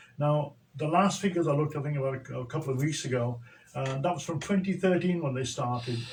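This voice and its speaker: Amid noticeable background noise and audible room echo, a man talks at a very fast pace with a fairly high pitch. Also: ordinary pitch variation. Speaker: social entrepreneur. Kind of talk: radio interview.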